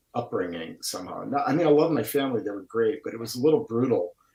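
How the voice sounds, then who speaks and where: With a strong Wisconsin accent, a man talks in a somewhat breathy voice with lively intonation. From Milwaukee, Wisconsin. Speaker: painter, artist. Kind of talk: casual chat. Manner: over-enunciated.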